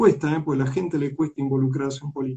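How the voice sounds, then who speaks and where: This is a man with a plain, everyday voice. His pitch is fairly high and his intonation fairly even. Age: 60s. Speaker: politician. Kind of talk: interview. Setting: online live stream.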